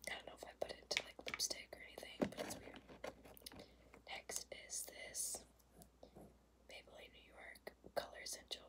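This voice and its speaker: A woman's whisper at a moderate pace, with big swings in loudness and long, frequent pauses. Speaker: ASMR creator. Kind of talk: ASMR makeup tapping video. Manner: whispered; casual, chatty. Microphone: phone near.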